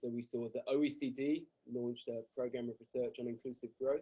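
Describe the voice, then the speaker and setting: A man's dark, mellow voice in a British accent, with monotone, flat intonation. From Britain. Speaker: professor. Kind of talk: lecture. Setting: video call. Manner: fast.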